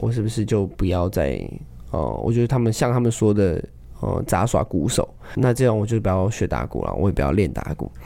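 A man talks at a fairly quick pace in a fairly low pitch. His intonation is lively and his voice has vocal fry. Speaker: street drummer. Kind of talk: casual interview.

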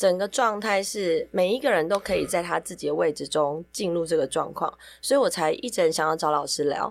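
Fairly low in pitch with vocal fry, a woman speaks fairly quickly with lively intonation in a very clean recording with a silent background. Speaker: yoga podcast host and yoga teacher. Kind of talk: casual chat. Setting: recording studio.

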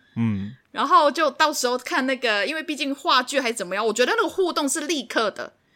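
Raising and projecting her high-pitched voice, a woman speaks at a fairly quick pace with hardly any pauses, her tone bright, sharp and animated and her intonation lively. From Hong Kong. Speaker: podcast co-host. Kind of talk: casual chat. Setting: remote recording. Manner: animated, laughs loudly.

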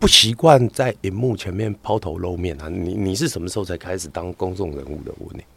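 Speaking at a fairly quick pace with hardly any pauses, a man has a very deep, low pitch and ordinary pitch variation. His loudness swings widely. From Taiwan, Hakka. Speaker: doctor and content creator. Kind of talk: casual chat interview. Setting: studio with headphones.

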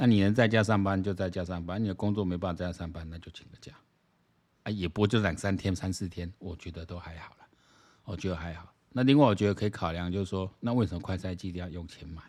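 A man talks at a very fast pace with a very deep, low pitch. His intonation stays fairly even while his loudness swings widely. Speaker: political commentary podcaster. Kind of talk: solo commentary monologue. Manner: casual, many fillers.

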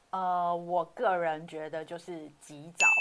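An animated woman's voice, fairly low in pitch, with noticeable background noise. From Taiwan, Hakka background. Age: 40s. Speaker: hotel industry worker. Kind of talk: casual chat. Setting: online livestream. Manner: animated, laughs often.

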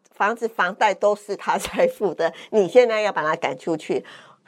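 A woman has a normal speaking voice, fairly high in pitch, at a moderate pace against a quiet background. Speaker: cancer survivor and fitness instructor. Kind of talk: interview testimony.

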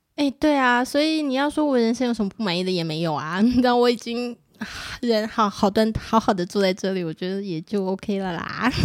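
Quick-paced and lively, a woman uses a normal speaking voice with fairly high pitch. The recording is very clean, with a silent background. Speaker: parent and nonprofit association board member. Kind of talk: casual chat.

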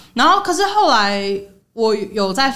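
Her voice has a bright, sharp tone, the voice of a woman. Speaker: podcast host. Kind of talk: casual chat.

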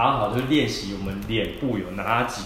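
A man talks at a moderate pace with ordinary pitch variation. There is audible room echo and noticeable background noise. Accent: Taiwanese. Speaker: traditional Chinese medicine doctor and podcast host. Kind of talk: solo health podcast talk. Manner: casual, many filler particles.

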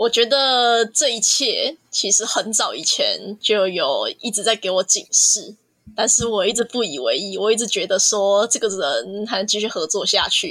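Hardly pausing, a woman speaks fairly slowly in an unremarkable speaking voice with a fairly high pitch. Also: ordinary pitch variation. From Taiwan, Kaohsiung. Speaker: art student. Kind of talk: casual chat.

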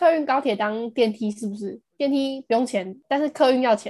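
A woman's high-pitched voice with lively intonation at a moderate pace, dry and close with no echo. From Taiwan, Taipei. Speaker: podcast co-host, university student. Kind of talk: casual chat. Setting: remote recording.

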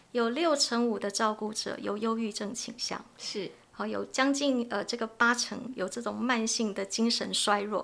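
Her voice fairly high with ordinary pitch variation, a woman speaks in an unremarkable speaking voice. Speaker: family caregiver advocacy organization head. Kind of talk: podcast interview conversation.

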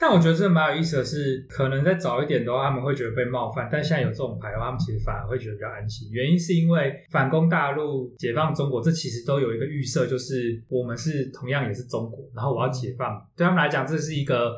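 In a medium pitch with ordinary variation, a man speaks at a very fast pace with hardly any pauses. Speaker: podcast co-host. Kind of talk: casual chat.

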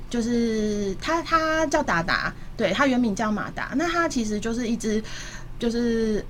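A woman's fairly high-pitched voice comes through with audible room echo. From Taipei, Taiwan. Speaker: pet food entrepreneur. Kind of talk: radio interview.

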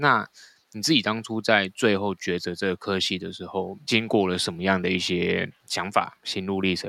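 A man's fairly low voice, bright and sharp in tone, with fairly even intonation. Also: dry, close sound with no echo. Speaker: podcast host. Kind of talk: interview.

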